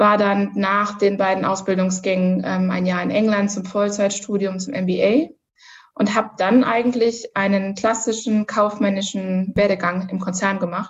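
A woman talks at a fairly slow pace in a medium pitch with fairly even intonation. Hers is a plain, everyday voice. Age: 30s. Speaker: corporate manager. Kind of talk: interview.

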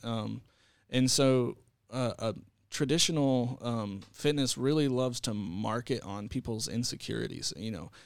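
Recorded very cleanly against a silent background, a man with a Texan accent speaks in a medium pitch with ordinary pitch variation. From Texas. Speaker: fitness center director. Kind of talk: casual interview.

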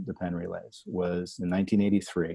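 The man has an American accent and a dark, mellow tone. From New Jersey. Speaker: podcast host. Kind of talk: interview.

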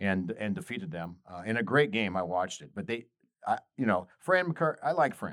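Lively intonation carries this voice in an American accent at a moderate pace. The recording is very clean, with a silent background. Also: man. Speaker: radio host. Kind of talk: casual sports talk radio banter. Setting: radio studio. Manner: energetic, amped up.

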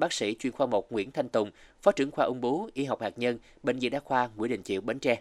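Very fast speech from a man at medium pitch, dry and close with no echo, on a very clean recording with a silent background. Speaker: radio host. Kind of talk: scripted narration. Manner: formal.

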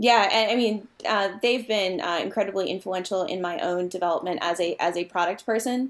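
This is a plain, everyday voice with an American accent, moving at a fairly quick pace. The intonation is fairly even, and there are hardly any pauses. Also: woman, medium pitch for a woman. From Massachusetts, US. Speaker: product manager. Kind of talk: casual interview chat.

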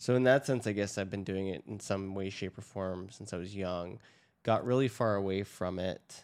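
Against a silent background in a very clean recording, a man with an ordinary speaking voice and fairly low pitch talks at a fairly quick pace with fairly even intonation. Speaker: podcast co-host. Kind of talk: casual chat. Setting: home studio. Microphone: new recording gear.

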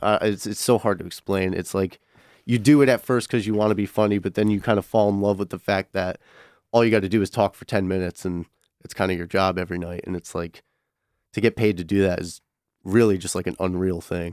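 A man with an American accent talks very fast, his fairly low voice keeping a fairly even intonation. The sound is dry and close with no echo, a very clean recording over a silent background. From Connecticut. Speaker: student stand-up comedian. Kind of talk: casual chat. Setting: radio studio.

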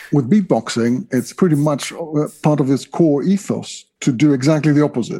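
A man talks at a moderate pace in a dark, mellow tone. His pitch variation is ordinary. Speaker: professor. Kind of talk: interview.

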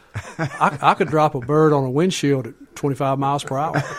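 A Southern US accent marks this man's speech. His voice sits fairly high. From US South. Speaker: author and storyteller. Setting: studio.

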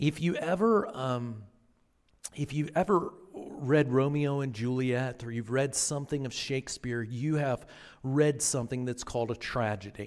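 A man speaks in a normal speaking voice, medium in pitch, with ordinary pitch variation. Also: moderate pace. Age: 40s. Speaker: pastor. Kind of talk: sermon. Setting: church.

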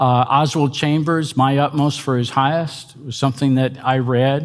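With an ordinary speaking voice, a man talks at a fairly slow pace in a fairly high pitch. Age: 60s. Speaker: pastor and teacher. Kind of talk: lecture. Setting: stage with audience.

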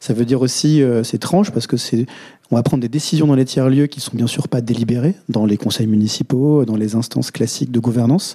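Moving at a fairly quick pace, a man speaks at medium pitch with ordinary pitch variation and a dark, mellow tone. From France, Vosges. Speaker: co-founder of a collective intelligence firm. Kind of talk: panel discussion. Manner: hesitant.

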